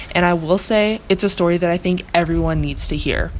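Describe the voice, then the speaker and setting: Fairly even in intonation, a speaker with an American accent talks at a very fast pace amid noticeable background noise. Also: woman. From US South, Charlotte, North Carolina. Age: young. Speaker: college student, research intern. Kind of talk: scripted narration.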